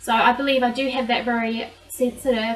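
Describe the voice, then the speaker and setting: A woman with a New Zealand accent speaks at a high pitch. She goes at a fairly slow pace over noticeable background noise. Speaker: vlogger. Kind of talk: personal vlog monologue.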